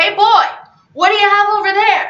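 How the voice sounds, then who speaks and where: Using a put-on character voice, a woman speaks at an extremely high pitch, with a slight echo. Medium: read story. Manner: brusque and domineering.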